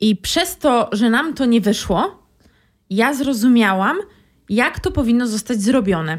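In a very clean recording with a silent background, a woman speaks at a fairly slow pace with a fairly high pitch, very wide pitch swings and very even loudness. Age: 20s. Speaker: career coach. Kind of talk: casual chat.

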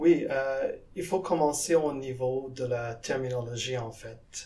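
The speaker is a man with a medium pitch and ordinary pitch variation. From Guyana, South America. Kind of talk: interview. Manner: halting, with repetitions.

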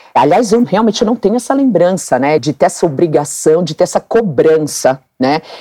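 A woman speaks at a moderate pace with very wide pitch swings and hardly any pauses. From Brazil, Mato Grosso (Cuiabá). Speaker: dermatologist and former competitive swimmer. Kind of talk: interview conversation.

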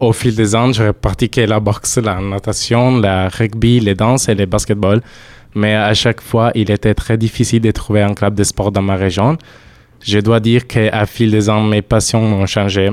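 At a fairly slow pace, a man speaks with an Italian accent, his fairly low voice in a monotone, flat intonation. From southern Italy. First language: Italian (speaking French). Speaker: European volunteer. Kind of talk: casual radio chat.

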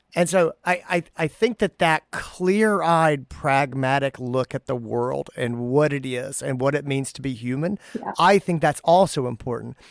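A man with a plain, everyday voice speaks fairly slowly at a fairly high pitch, with ordinary pitch variation and hardly any pauses, in a dry, close sound with no echo on a very clean recording with a silent background. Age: 40s. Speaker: veterinarian podcast host. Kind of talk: casual chat.

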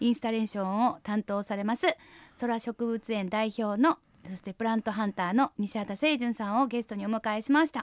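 A woman with an unremarkable speaking voice talks at a moderate pace, her fairly high pitch moving with ordinary variation. The recording is very clean with a silent background and a dry, close sound with no echo. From Hyogo, Japan (Nishinomiya). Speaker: radio host. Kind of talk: radio interview.

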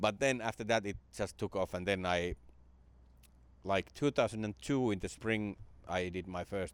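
Here a man talks at a fairly slow pace, with long, frequent pauses. The recording is very clean, with a silent background. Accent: Finnish. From Finland (Jyväskylä). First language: Finnish. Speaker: stand-up comedian. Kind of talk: casual interview chat. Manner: halting.

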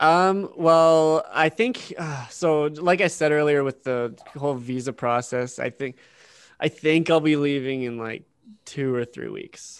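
Here is a man with a normal speaking voice and a fairly high pitch. He talks at a fairly slow pace with ordinary pitch variation against a quiet background. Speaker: podcast co-host. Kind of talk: casual chat.

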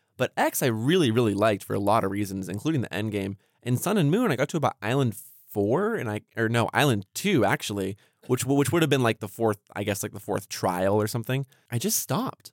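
In an ordinary speaking voice of medium pitch, a man talks at a fairly quick pace with lively intonation, the sound dry and close with no echo on a very clean recording with a silent background. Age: 20s. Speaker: gaming podcast host. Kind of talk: casual chat.

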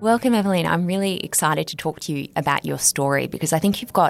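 Her voice carries vocal fry over lively intonation. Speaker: podcast host. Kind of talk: interview, scripted intro.

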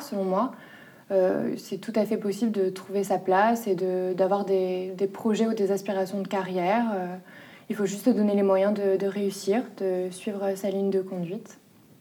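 A woman with a dark, mellow tone speaks at a fairly slow pace, her pitch medium and her intonation fairly even. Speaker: junior notary office employee. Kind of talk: documentary interview. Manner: hesitant, many filler sounds.

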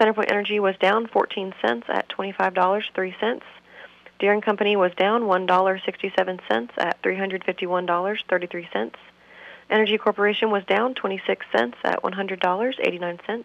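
Speaking at a fairly quick pace, a woman has an unremarkable speaking voice at medium pitch, with ordinary pitch variation. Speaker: financial advisor. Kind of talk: market report reading. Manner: brisk, even reading of numbers.

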